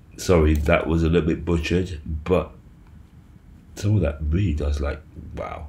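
A man with a very deep, low, somewhat breathy voice speaks in a monotone, flat intonation at a moderate pace. Long, frequent pauses break up his speech, and room echo is audible. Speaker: crypto YouTuber. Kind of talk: casual video commentary. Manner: halting, many fillers.

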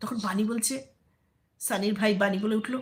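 A woman speaks at a moderate pace in a medium pitch, her intonation fairly even.

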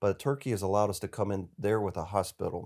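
A man with an Appalachian accent speaks in a dark, mellow tone at a fairly low pitch, with a quiet background. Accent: Southern US (Appalachian North Carolina). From US South, western North Carolina mountains. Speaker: charity executive, former army officer. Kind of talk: casual interview. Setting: studio. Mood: earnest, reflective. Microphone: lapel.

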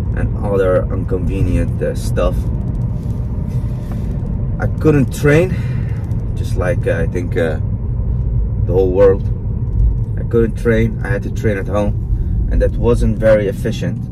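Against noticeable background noise, a man speaks at a fairly slow pace with long, frequent pauses. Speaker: fitness vlogger. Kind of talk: casual vlog chat. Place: car. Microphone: phone near.

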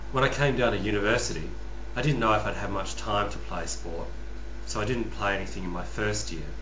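Noticeable background noise surrounds a man who talks at a fairly quick pace. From Western Australia, rural (Northam). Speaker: YouTuber, customer service worker. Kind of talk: personal vlog monologue. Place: home room. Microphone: webcam.

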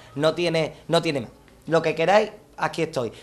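A man with an animated tone, at a moderate pace. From Andalusia, Palma del Río (Córdoba); Andalusia, Spain. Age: 20s. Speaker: copla singer; TV interviewee. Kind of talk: self-presentation monologue; interview answer. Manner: halting, many repetitions. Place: garden.

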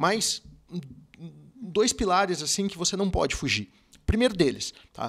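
A man talks fairly slowly in a high voice with lively intonation. He leaves long, frequent pauses against a quiet background. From Curitiba, Paraná, Brazil; Paraná, Brazil. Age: 40s. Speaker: car dealership sales director. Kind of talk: podcast interview. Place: studio. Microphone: studio mic.

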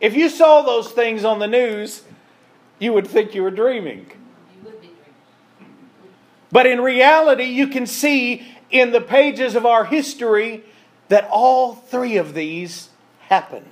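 A man with an extremely high pitch talks at a fairly slow pace, leaving long, frequent pauses. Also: ordinary pitch variation. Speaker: preacher. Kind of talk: sermon. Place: church.

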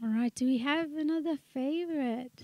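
Soft-spoken and moderate in pace, a woman talks in a high pitch with a dark, mellow tone and ordinary pitch variation, the sound dry and close with no echo.

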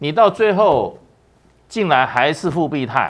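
Very slow in pace, a man speaks at a fairly high pitch with very wide pitch swings. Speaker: former ambassador, commentator; commentator. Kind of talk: political talk show. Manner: hesitant fillers. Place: studio.

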